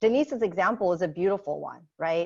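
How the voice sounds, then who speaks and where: Speaking in a Lao accent, a woman uses a medium pitch and lively intonation. Her pace is moderate, and the background is quiet. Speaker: social services manager. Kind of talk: webinar discussion. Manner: repeats words, hesitant.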